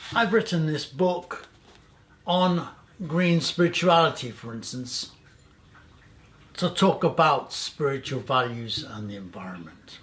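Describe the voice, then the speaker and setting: Taking long, frequent pauses, a man with a fairly high voice talks fairly slowly, with very wide pitch swings and big swings in loudness. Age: 70s. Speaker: green activist and channel host. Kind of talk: presenter monologue to camera.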